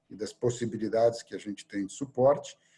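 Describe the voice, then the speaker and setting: A man's somewhat breathy voice of medium pitch with a dark, mellow tone. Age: 60s. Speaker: surgeon and hospital director. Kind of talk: interview conversation. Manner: hesitant, many fillers.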